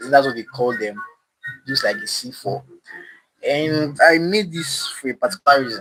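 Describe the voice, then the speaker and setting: A man's fairly high voice with a non-native accent, lively intonation, big swings in loudness, a moderate pace and long, frequent pauses, over music in the background. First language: not English. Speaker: DIY maker streamer. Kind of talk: live stream demo. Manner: halting.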